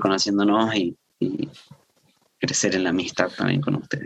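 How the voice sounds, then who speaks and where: This man speaks at a fairly low pitch. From Salta, northern Argentina. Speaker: seminary student and preacher. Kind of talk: casual chat about a sermon. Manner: halting, with fillers and repetitions.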